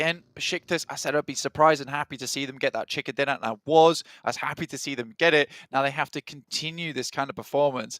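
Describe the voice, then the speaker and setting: Talking at a very fast pace, a man with a fairly high pitch keeps his intonation fairly even in a dry, close sound with no echo. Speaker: esports caster. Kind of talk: live commentary.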